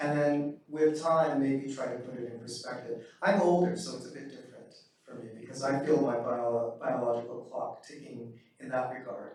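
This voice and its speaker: A medium-pitched man's voice with big swings in loudness and audible room echo. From Northern Alberta, Canada. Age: 60s. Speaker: author. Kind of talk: keynote talk. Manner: hesitant, many fillers.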